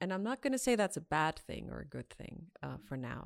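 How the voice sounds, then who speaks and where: A woman at a fairly quick pace in a very clean recording over a silent background. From Austria, with Iranian background. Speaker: former diplomat. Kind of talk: casual chat.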